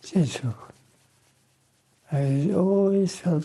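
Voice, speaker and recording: This man speaks at a very slow pace in a dark, mellow tone that is somewhat breathy. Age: 80s+. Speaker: war veteran, former fighter pilot. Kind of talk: interview answer.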